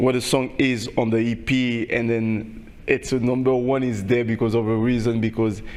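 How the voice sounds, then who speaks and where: The speech comes in a Haitian accent at a moderate pace, with hardly any pauses, a monotone, flat intonation and very even loudness. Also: man, medium pitch for a man. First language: Haitian Creole. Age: young. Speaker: singer. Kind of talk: interview. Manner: halting, many repetitions.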